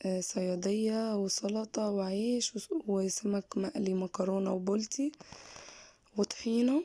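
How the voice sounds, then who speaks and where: The speech moves at a very slow pace. Pitch varies in an ordinary way. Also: woman, medium pitch for a woman. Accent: Egyptian. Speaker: lifestyle vlogger. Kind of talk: vlog narration. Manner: casual.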